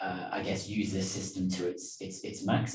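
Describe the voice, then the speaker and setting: A British accent with audible room echo. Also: man. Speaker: business trainer. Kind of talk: online lecture. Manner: hesitant, many fillers.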